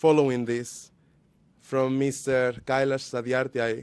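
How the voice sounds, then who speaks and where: Speaking at a fairly slow pace, a man with a Spanish accent has a medium pitch. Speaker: youth activist. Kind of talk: speech at a panel.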